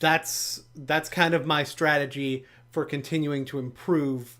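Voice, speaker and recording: On a very clean recording with a silent background, a man speaks very slowly at a fairly high pitch. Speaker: YouTuber, music reviewer. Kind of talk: casual vlog update. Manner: rambling, hesitant with fillers.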